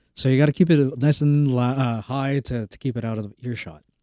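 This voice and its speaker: A normal speaking voice from a man, medium in pitch, at a moderate pace, with a dry, close sound and no echo on a very clean recording against a silent background. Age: 40s. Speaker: drone film company founder. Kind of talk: interview. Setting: studio.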